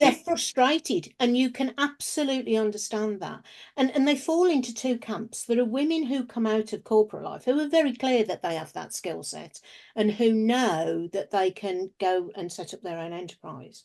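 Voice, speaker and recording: A woman with an English accent speaks at a moderate pace in a fairly high voice. Her intonation is lively, and her loudness swings widely. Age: 60s. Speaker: business founder and researcher. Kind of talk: interview.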